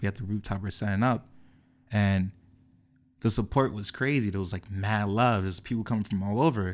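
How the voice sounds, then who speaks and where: With an American accent, a man speaks at a fairly low pitch and a fairly quick pace, broken by long, frequent pauses. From New Jersey, Piscataway. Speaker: fashion brand co-founder. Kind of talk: casual chat. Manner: animated.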